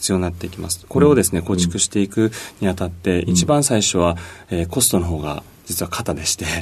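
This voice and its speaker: A man's very deep, low voice, somewhat breathy, at a fairly quick pace with ordinary pitch variation. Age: 40s. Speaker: company CEO. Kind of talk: radio interview. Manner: polite formal with many fillers.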